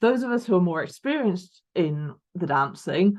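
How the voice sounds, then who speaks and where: A woman speaks with a Lancashire accent. Her pitch sits fairly low. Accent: northern English (Lancashire). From northern England, Lancashire. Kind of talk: online talk. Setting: video call.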